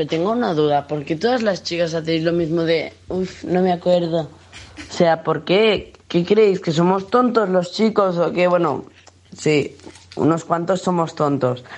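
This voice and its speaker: A man's high-pitched voice at a fairly slow pace. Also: ordinary pitch variation. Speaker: podcast co-host. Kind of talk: casual chat. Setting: studio.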